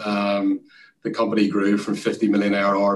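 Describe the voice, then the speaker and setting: A man talks with an Irish accent. His pace is moderate. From Ireland. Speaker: sales executive. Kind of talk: interview.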